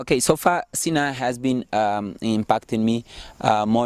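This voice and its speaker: At a fairly slow pace, a man with a non-native accent speaks in a very clean recording with a silent background and a dry, close sound with no echo. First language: not English. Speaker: social entrepreneurship student. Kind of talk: interview testimony. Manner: hesitant, many fillers.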